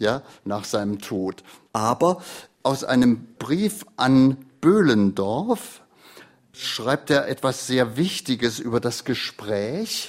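Speech comes at a very slow pace with lively intonation, in a very clean recording with a silent background. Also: man, medium pitch for a man. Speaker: retired literary radio editor and host. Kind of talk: interview. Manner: spontaneous free-flowing speech.

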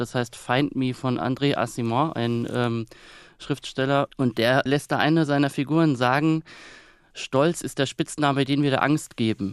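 This man has a normal speaking voice at medium pitch, talking at a moderate pace with fairly even intonation in a dry, close recording with no echo. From Kaiserslautern, Palatinate, Germany. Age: 30s. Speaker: author and newspaper editor. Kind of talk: radio interview. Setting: remote line from Berlin.

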